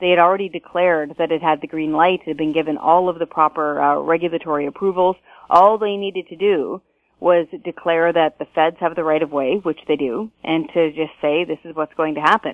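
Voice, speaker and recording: A woman speaks in a Canadian accent at a fairly quick pace, with a fairly low pitch. Hers is a plain, everyday voice with fairly even intonation. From British Columbia, Canada. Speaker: taxpayer advocacy director. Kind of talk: interview.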